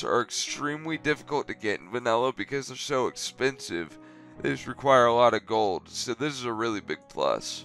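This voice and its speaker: With music in the background, a man speaks at medium pitch and moderate pace. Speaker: gaming YouTuber. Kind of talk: game guide commentary. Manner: casual.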